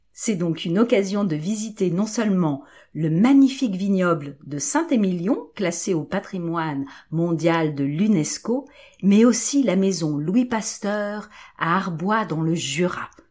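Against a silent background in a very clean recording, a woman talks at a moderate pace. She has an unremarkable speaking voice, medium pitch and lively intonation. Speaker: teacher presenting good news segment. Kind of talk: scripted news-style reading in French.

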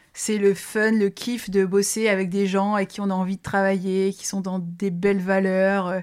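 The recording is very clean with a silent background. A woman at a medium pitch speaks at a fairly slow pace in a monotone, flat intonation with hardly any pauses. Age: 30s. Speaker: business executive. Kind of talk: interview.

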